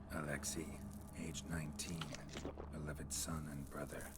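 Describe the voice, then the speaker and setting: Against loud background noise, a man uses a put-on character voice at a moderate pace. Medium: machinima. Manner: terse, dry, low-key.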